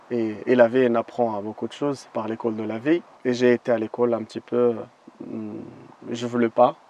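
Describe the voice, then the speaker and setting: Flat and monotone, a man speaks at a medium pitch and a moderate pace. The sound is dry and close, with no echo. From Moroccan desert. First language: not French; learned French as a guide (speaking French). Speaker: desert guide. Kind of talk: interview. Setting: outdoors in the desert. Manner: halting, with many hesitations.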